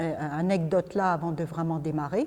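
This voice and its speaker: A woman's dark, mellow voice at a moderate pace. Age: 60s. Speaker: spiritual speaker, former psychiatric nurse. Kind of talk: talk to a group, personal story. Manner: hesitant, many fillers.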